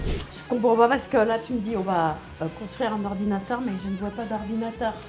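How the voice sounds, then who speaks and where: A fairly high-pitched woman at a fairly quick pace, music in the background. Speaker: voice actor. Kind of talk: casual talk to camera. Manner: playful, upbeat.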